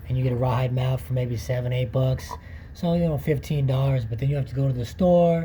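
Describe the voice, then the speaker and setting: Audible room echo surrounds a man's voice. He speaks at a fairly quick pace with ordinary pitch variation. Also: medium pitch for a man. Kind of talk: tutorial.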